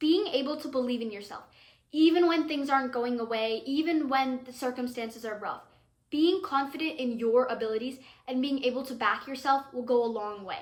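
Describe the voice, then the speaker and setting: Speaking at a fairly quick pace, a woman with a high pitch and ordinary pitch variation sounds animated, her loudness swinging widely. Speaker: cricket commentator / vlogger. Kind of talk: casual vlog commentary. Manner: animated, self-interrupting.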